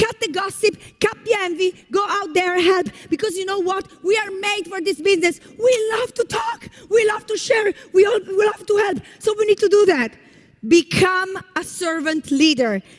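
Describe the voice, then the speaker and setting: With noticeable background noise behind her, a woman speaks in an extremely high pitch with an animated tone, ordinary pitch variation and a moderate pace. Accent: Italian. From Italy. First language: Italian. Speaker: network marketing leader. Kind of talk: motivational speech. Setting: stage with audience.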